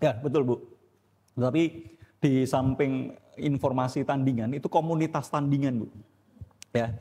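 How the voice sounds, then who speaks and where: Speaking at a moderate pace, a man has a fairly high-pitched voice with a dark, mellow tone. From Indonesia, Surabaya (East Java). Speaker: pastor and theology teacher. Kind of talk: church teaching with Q&A. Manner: blunt, direct.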